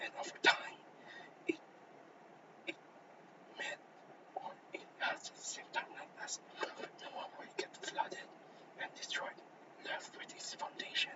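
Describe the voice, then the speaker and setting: Whispering at a fairly slow pace, a man leaves long, frequent pauses while his loudness swings widely over noticeable background noise. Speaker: student presenter. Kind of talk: class presentation. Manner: halting.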